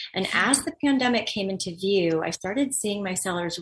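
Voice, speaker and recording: This woman has an American accent and a medium pitch. Her intonation is lively, over noticeable background noise. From Los Angeles, US. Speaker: actor, teacher and engagement consultant. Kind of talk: interview.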